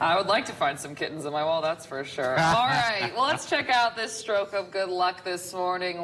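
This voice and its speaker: Noticeable background noise surrounds a woman whose intonation is lively. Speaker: morning news anchor and producer for a local TV station. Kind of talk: newsroom desk banter with co-anchor.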